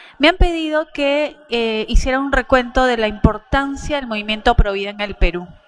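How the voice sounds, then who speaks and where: At a moderate pace, a woman talks in a high pitch with lively intonation and big swings in loudness. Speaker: pro-life activist speaker. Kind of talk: conference talk.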